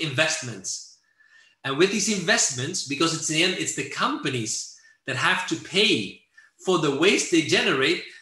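Against a quiet background with audible room echo, a man with high pitch and a bright, sharp tone speaks at a moderate pace. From Netherlands. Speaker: environmental NGO director; presenter. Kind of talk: lecture. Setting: video call. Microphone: video call.

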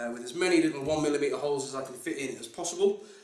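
A man is speaking. Audible room echo and light background noise surround his voice. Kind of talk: tutorial. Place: home room. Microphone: camera far.

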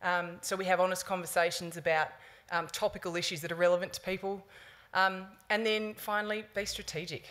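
Speaking at a fairly quick pace, a woman with an Australian accent keeps a monotone, flat intonation. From Sydney, Australia. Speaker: sports community engagement manager; conference presenter. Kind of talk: conference talk. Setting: conference stage with audience. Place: hall. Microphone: podium.

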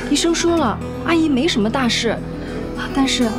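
A woman talks at a moderate pace with ordinary pitch variation. Clear music plays in the background. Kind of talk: scripted drama dialogue.

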